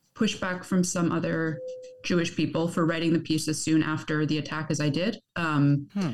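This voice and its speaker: A woman's voice at a fairly slow pace. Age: young. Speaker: journalist and author. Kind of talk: interview. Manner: halting.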